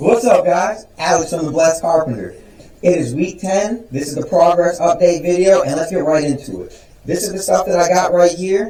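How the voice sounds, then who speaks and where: A high-pitched man's voice with audible room echo and noticeable background noise. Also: ordinary pitch variation, moderate pace. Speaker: woodworking YouTuber. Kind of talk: vlog intro takes. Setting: workshop.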